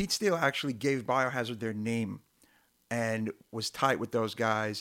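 With a Brooklyn accent, a man speaks at a medium pitch and a moderate pace in fairly even intonation. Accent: New York (Brooklyn). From Brooklyn, New York (South Brooklyn). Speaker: hardcore punk musician. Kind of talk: casual chat.

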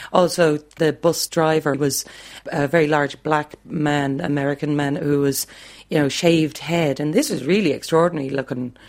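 A woman with a Dublin accent speaks at a moderate pace in a very deep, low voice. Her intonation stays fairly even. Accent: Dublin Irish. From Ireland, Dublin. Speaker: music teacher. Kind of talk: reminiscing interview.

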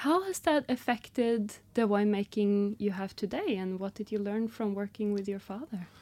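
A woman with a Norwegian accent, medium in pitch, with a dark, mellow tone, ordinary pitch variation and hardly any pauses. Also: moderate pace, very clean recording, silent background. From northern Norway. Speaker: podcast host. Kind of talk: casual interview chat. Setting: studio.

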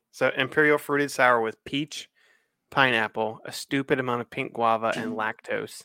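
On a very clean recording with a silent background, a man at medium pitch speaks at a moderate pace in a bright, sharp tone with a dry, close sound and no echo. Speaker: podcast co-host. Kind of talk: casual chat.

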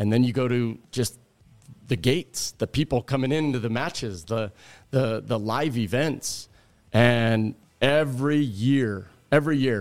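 A man with a plain, everyday voice and an American accent, medium pitch, ordinary pitch variation and a fairly slow pace, on a very clean recording with a silent background. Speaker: college volleyball coach. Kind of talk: casual interview.

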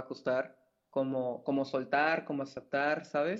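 His pitch sits fairly high for a man. The man's intonation stays monotone and flat. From Mexico, Mérida (Yucatán); born in Mexico City. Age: 20s. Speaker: wedding photographer. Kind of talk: casual chat.

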